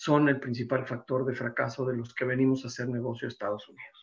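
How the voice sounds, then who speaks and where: A man's medium-pitched voice, flat and monotone, at a fairly quick pace. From Mexico City. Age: 60s. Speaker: insurance and business consultant, seminar presenter. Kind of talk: seminar presentation.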